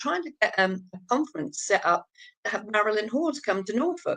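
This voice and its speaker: A woman talks with an East Anglian accent. Her fairly high pitch swings very widely. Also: quiet background. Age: 70s. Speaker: abuse survivor and campaigner. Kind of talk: interview testimony. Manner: halting.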